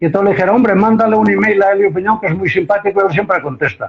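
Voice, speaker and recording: Here a man talks in a high pitch. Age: 80s+. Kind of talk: interview. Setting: Instagram live stream. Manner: animated.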